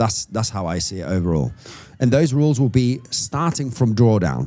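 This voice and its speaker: With music in the background, a man talks in lively intonation. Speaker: trader. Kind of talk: live trading stream commentary. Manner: halting.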